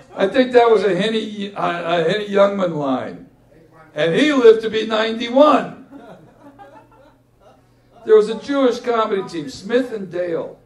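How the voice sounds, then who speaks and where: Noticeable background noise sits behind this recording. The man in it moves at a moderate pace, his pitch varying in an ordinary way. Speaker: poet. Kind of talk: live memoir reading to audience. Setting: live venue with audience. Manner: humorous, joke-telling.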